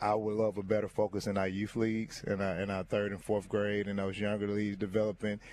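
In a Southern US accent, the voice stays in a flat monotone. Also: man. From US South. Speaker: high school basketball coach. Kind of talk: interview.

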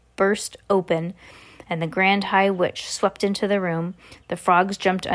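Reading aloud in a natural voice, intonation fairly even throughout

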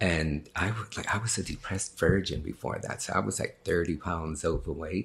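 Very deep, low pitch from a man with vocal fry and an American accent, at a moderate pace with ordinary pitch variation. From New York City, the Bronx. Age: 50s. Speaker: actor and sex worker. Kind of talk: interview.

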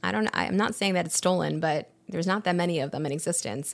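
An enthusiastic, animated tone at a fairly quick pace over a quiet background. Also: woman. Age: 30s. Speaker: wine podcast host, former sommelier. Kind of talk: live-streamed wine podcast monologue. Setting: live-streamed recording.

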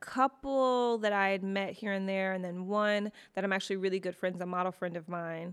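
A woman with an American accent speaks in a plain, everyday voice with fairly even intonation. The recording is very clean, with a silent background. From US Midwest, Detroit. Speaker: podcast host, mother. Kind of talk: casual chat.

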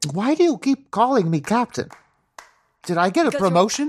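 A put-on character voice, whiny and fairly high in pitch, comes at a moderate pace. Its pitch swings very widely. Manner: whining, confused.

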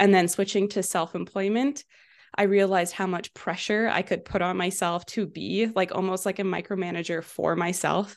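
A woman's unremarkable speaking voice in a Canadian accent, medium in pitch with fairly even intonation, over a quiet background. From western Canada, Vancouver. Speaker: entrepreneur, social media ads specialist. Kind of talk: interview.

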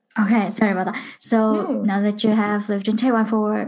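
A woman speaks in a somewhat breathy voice. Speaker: podcast host. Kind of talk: casual interview.

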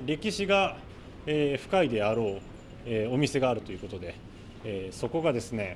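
A man speaks loudly at a moderate pace, his pitch swinging very widely. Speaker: radio reporter and interviewer. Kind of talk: on-location report. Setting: underground shopping arcade. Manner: loud, carrying voice; many filler words.

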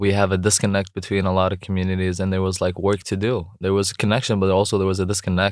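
A man speaks very fast in a very deep, low voice with an Arabic accent, his intonation monotone and flat, on a very clean recording with a silent background. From Jordan. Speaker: entrepreneur and youth mentor. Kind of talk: interview.

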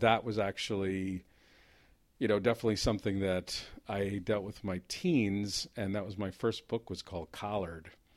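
Speaking in a New Jersey accent, a man with a fairly low pitch keeps a fairly slow pace and fairly even intonation, recorded very cleanly against a silent background. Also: long, frequent pauses. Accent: New Jersey American. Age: 50s. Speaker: playwright. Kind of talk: casual chat.

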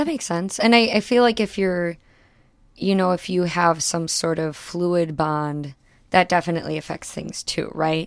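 With a plain, everyday voice, a woman speaks at a moderate pace and fairly low pitch with ordinary pitch variation, on a very clean recording with a silent background. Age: 20s. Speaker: podcast guest discussing her relationships. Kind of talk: casual interview chat.

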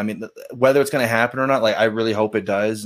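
In a very clean recording with a silent background, a man speaks in an unremarkable speaking voice, fairly low in pitch with fairly even intonation. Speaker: podcast co-host guest. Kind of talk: casual conversation.

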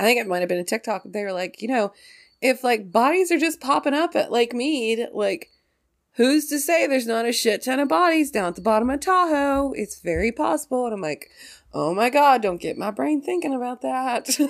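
On a very clean recording with a silent background, a woman speaks at a moderate pace in a high pitch. Her tone is animated, with very wide pitch swings. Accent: West Virginia. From West Virginia. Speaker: podcast host. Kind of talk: casual chat. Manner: animated, excitable, laughs often.

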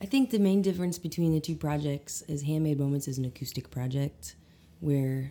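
This woman's voice has a dark, mellow tone. Her pitch variation is ordinary. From Arkansas Ozarks, Eureka Springs area. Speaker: singer and multi-instrumentalist. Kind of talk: casual interview chat. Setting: at her house in New Orleans.

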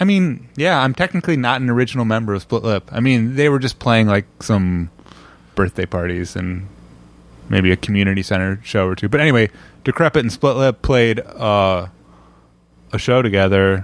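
A mumbling man with an American accent, medium pitch and lively intonation, at a moderate pace, on a very clean recording with a silent background. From Indiana, US Midwest. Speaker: musician and film composer. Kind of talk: casual interview chat. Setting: at home apartment.

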